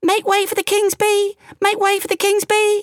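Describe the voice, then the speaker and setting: A woman's put-on character voice, extremely high in pitch, monotone and flat, at a moderate pace. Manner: announcing loudly.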